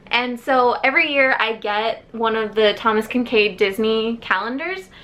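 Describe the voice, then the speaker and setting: A woman's fairly high voice at a fairly slow pace, with ordinary pitch variation and an ordinary speaking voice. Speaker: book YouTuber. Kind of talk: casual vlog storytime.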